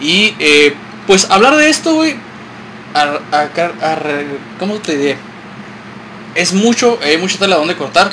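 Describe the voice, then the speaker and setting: Over noticeable background noise, a man with a Mexican accent speaks at a moderate pace in a high pitch with very wide pitch swings and long, frequent pauses. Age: 30s. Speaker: podcast host. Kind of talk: casual chat.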